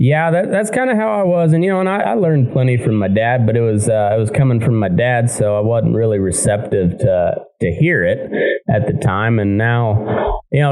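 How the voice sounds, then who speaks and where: With an American accent, a man talks at a moderate pace and medium pitch with lively intonation, accompanied by audible room echo and music in the background. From southeast Colorado. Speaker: podcast host and cowhand. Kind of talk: casual interview. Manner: halting.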